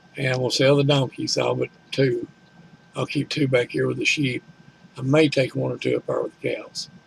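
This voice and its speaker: Noticeable background noise runs beneath talking that proceeds at a moderate speed. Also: man. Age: 60s. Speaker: farmer. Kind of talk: casual chat. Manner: halting.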